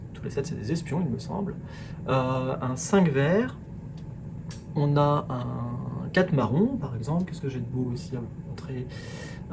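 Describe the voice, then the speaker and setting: With an English accent, a man speaks very slowly at a fairly high pitch, his intonation lively. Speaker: product presenter. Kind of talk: product presentation. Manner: halting, many fillers.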